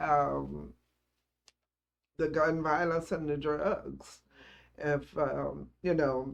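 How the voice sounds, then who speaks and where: A woman talks very slowly with a Southern US accent, leaving long, frequent pauses. Her loudness stays very even throughout. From Celina, Tennessee. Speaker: grandmother. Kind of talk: oral history interview answer.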